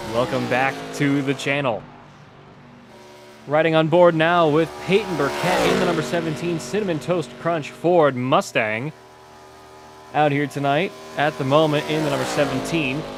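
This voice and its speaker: With noticeable background noise, a man at a fairly high pitch speaks at a moderate pace, leaving long, frequent pauses. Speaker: sim racing broadcaster. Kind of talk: live commentary. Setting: home bedroom. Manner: monotone.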